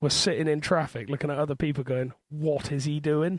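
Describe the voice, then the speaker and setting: In a strong Bristol accent, a man speaks with a fairly high pitch, the recording very clean with a silent background and a dry, close sound with no echo. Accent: thick Bristol. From Bristol, Southwest England. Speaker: podcast co-host. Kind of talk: casual chat.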